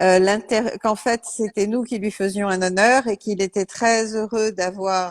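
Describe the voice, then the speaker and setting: In an American accent, a woman with a plain, everyday voice speaks at a moderate pace, fairly high in pitch with fairly even intonation. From United States. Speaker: interpreter. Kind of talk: live interpreting. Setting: video call.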